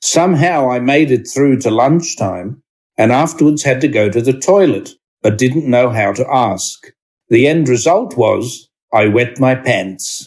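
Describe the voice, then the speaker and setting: With an Australian accent, a man speaks slowly at a medium pitch, his intonation lively and his loudness very even. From Australia (Sydney). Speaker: discussion group presenter. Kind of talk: reading aloud.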